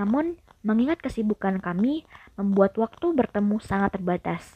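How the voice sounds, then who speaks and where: The speaker is a woman with a medium pitch. Her voice is somewhat breathy and her pace fairly slow. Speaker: horror story channel host. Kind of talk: reading aloud a horror story. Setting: bedroom, not soundproof.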